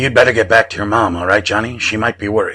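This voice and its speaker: A put-on character voice races along at a very fast pace with fairly even intonation. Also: man. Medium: read story. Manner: gentle, kindly.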